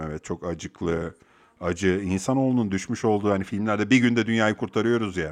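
A man talks in a fairly low pitch with ordinary pitch variation against a quiet background. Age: 40s. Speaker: podcast host, software engineer. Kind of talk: casual monologue. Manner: halting, frequent fillers.

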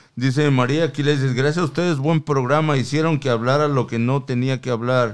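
Medium in pitch, a man's voice moves at a fairly quick pace. His tone is animated. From Mexico. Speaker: podcast co-host. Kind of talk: casual chat. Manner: animated, slangy.

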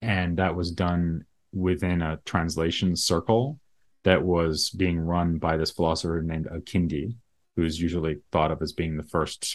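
In a very clean recording with a silent background, a man with an American accent speaks at a very deep, low pitch, at a moderate pace and with fairly even intonation. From US, Boston area (Massachusetts). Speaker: philosopher. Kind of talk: interview.

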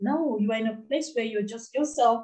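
A woman speaks fairly quickly in a dark, mellow tone. Her pitch varies in an ordinary way. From Nigeria. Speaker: anti-FGM advocate and charity founder. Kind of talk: interview, personal testimony.

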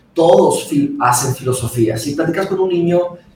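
Audible room echo and noticeable background noise surround the voice. The pace is moderate. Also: man. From Monterrey, northern Mexico (born in Brazil). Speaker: philosophy commentator. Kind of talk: casual chat.

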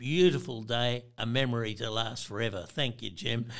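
A man with an Australian accent, medium pitch, and moderate pace, in a very clean recording with a silent background. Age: 70s. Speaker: veteran fly fisherman. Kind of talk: casual chat.

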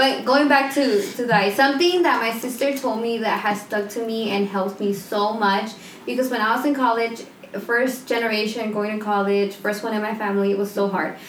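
A woman with a slight Mexican accent talks at a fairly quick pace and fairly high pitch, with ordinary pitch variation. Audible room echo and noticeable background noise fill the recording. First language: Spanish. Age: 20s. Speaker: stay-at-home mom. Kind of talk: casual chat.

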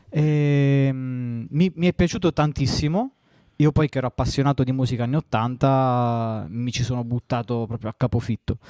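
In a southern Italian accent, the voice has a dark, mellow tone and ordinary pitch variation at a moderate pace, on a very clean recording with a silent background and a dry, close sound with no echo. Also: man, medium pitch for a man. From southern Italy. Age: 30s. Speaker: electronic music producer. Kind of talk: interview.

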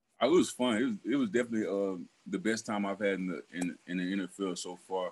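A man talks with a Southern US accent at a moderate pace. His pitch is fairly low. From Alabama. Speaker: professional football player. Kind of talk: interview. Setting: video call. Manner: halting.

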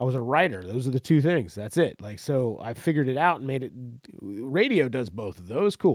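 This man has a medium-pitched voice with an American accent and very wide pitch swings. The recording is very clean and silent behind him, with a dry, close sound and no echo. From central Florida. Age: 40s. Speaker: musician and former radio broadcaster. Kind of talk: casual chat. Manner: animated.

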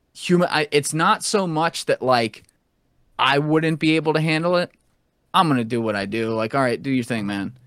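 With an unremarkable speaking voice, a man talks at a moderate pace in a fairly high pitch with lively intonation, recorded dry and close with no echo in a very clean recording with a silent background. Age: 20s. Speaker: podcast host and former Wall Street banker. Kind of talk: casual chat.

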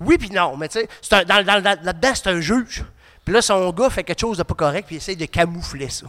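Recorded very cleanly over a silent background, a man speaks fairly quickly in a high voice with a bright, sharp tone and ordinary pitch variation. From Quebec, Côte-Nord. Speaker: podcast co-host. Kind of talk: casual chat. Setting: studio with live audience.

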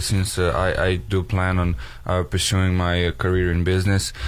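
A man speaks with a Serbian accent at a very deep, low pitch. His pace is fairly slow. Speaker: college student athlete. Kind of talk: radio interview. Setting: studio.

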